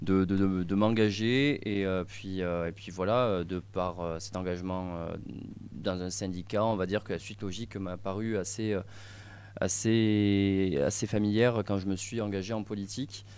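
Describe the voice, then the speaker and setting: Fairly low in pitch and fairly even in intonation, a man speaks at a fairly slow pace. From southwest France, Gers. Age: 20s. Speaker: young party official. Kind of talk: radio interview. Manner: halting, many fillers.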